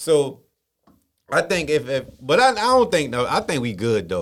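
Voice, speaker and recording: There is vocal fry in this man's voice. He speaks at a fairly quick pace. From Baltimore, Maryland. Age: 30s. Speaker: podcast host. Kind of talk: casual interview.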